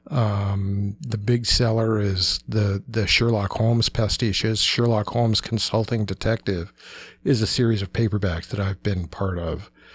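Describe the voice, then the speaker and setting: A man speaks at a moderate pace in a fairly low, somewhat breathy voice. His intonation stays fairly even. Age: 50s. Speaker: pop culture writer. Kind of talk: casual chat.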